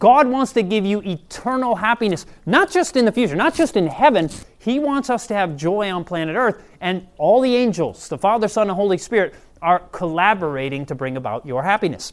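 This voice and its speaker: With a Midwestern American accent, a man talks fairly quickly in a high, animated voice full of very wide pitch swings. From Michigan. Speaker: health and prophecy seminar speaker. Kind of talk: sermon.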